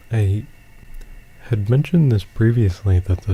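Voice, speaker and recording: Soft-spoken and relaxed in tone, a man talks at a very slow pace with ordinary pitch variation. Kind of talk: gameplay commentary. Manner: rambling, relaxed.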